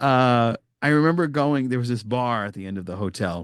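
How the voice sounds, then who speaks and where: A man with an American accent speaks in an animated tone at a medium pitch, with ordinary pitch variation against a quiet background. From New York area. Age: 40s. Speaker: podcast guest, Star Trek podcaster. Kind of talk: casual chat.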